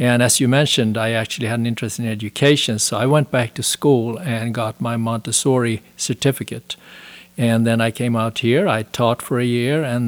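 A man with a Swedish accent talks at a fairly quick pace and medium pitch, with fairly even intonation. The sound is dry and close, with no echo. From Sweden. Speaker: author. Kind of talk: interview.

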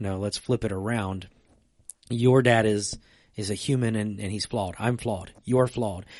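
A man's normal speaking voice, fairly low in pitch, with fairly even intonation and a moderate pace, over a quiet background. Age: 30s. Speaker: church podcast co-host, pastor. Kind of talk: casual chat about faith. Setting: church stream room.

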